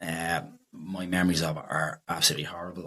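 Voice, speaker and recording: A man with a Dublin accent, a very deep, low pitch and a bright, sharp tone. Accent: Dublin Irish. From Dublin, Ireland (Drumcondra). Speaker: electrician. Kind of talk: casual interview. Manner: hesitant, many fillers.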